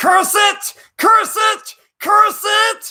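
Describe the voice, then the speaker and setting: Shouting in an extremely high pitch, this put-on character voice hisses as it goes. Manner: hissing.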